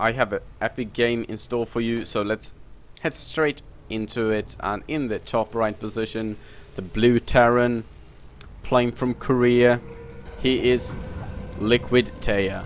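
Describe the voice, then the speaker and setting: A man speaks in a monotone, flat intonation at a medium pitch and a fairly slow pace, leaving long, frequent pauses. Noticeable background noise is present. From Sweden. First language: Swedish. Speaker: esports commentator. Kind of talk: live commentary. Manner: halting.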